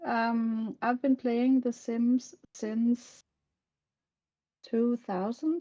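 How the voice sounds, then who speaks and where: A woman with a Danish accent, a fairly high pitch and a dark, mellow tone. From Denmark. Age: 50s. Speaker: game content creator. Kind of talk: interview. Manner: halting.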